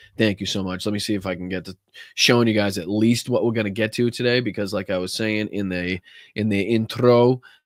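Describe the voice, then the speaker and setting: A man with a Boston accent talks at a fairly quick pace in a fairly low pitch. His intonation stays fairly even. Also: very clean recording, silent background. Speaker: political commentator, podcast host. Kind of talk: casual livestream talk to audience.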